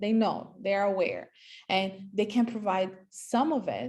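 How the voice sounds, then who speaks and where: Somewhat breathy, a woman speaks at a fairly high pitch. Her pace is fairly slow, with ordinary pitch variation. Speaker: property agent. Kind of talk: presentation. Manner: halting.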